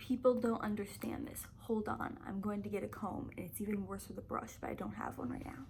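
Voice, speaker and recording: A woman speaks fairly quickly, and room echo is audible around her voice. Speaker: chronic illness vlogger. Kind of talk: casual vlog. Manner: halting, stumbling.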